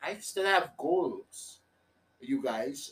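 A man is speaking. His pace is very slow. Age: 30s. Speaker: comedy podcast host. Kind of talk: solo comedic monologue.

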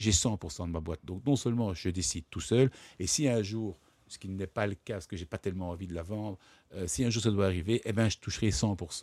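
Over a silent background in a very clean recording, a man speaks in an ordinary speaking voice, fairly low and with ordinary pitch variation. The sound is dry and close with no echo, and his pace is fairly quick. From Brussels, Belgium. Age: 40s. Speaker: entrepreneur and publisher. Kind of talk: interview. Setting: studio.

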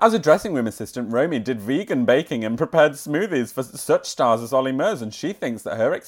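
An unforced reading voice carries the clip.

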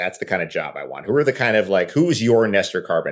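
With an American accent, a man at medium pitch uses lively intonation in a plain, everyday voice. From New York. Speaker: podcast host and actor. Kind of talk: interview.

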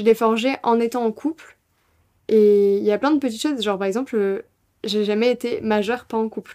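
A woman talks at a moderate pace with long, frequent pauses. Her fairly high-pitched voice has a dark, mellow tone and fairly even intonation. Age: 20s. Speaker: student. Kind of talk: casual chat.

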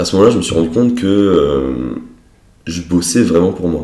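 Audible room echo surrounds a man with a very deep, low pitch and a dark, mellow tone. He speaks at a moderate pace with vocal fry and ordinary pitch variation. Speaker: wealth management advisor, entrepreneur. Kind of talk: casual interview.

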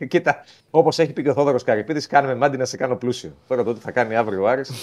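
Speaking at a medium pitch, a man uses lively intonation. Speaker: football reporter. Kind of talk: sports report by phone.

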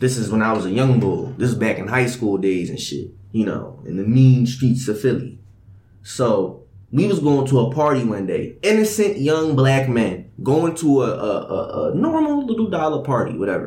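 This man has a dark, mellow tone at a medium pitch, somewhat breathy, with very wide pitch swings. He talks at a moderate pace, and room echo is audible. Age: young. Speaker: podcast host. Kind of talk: casual chat. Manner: animated.

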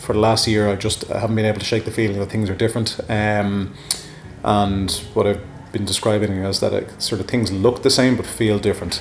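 Over noticeable background noise, a man with a fairly low pitch talks very fast in a monotone, flat intonation. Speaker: bar co-owner. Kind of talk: casual interview.

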